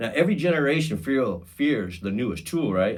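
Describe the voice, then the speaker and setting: This man speaks at a fairly high pitch with vocal fry. His pace is fairly quick, and his pitch swings very widely. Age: 50s. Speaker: podcast host. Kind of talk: podcast monologue. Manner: casual, conversational with fillers; halting, repeats words.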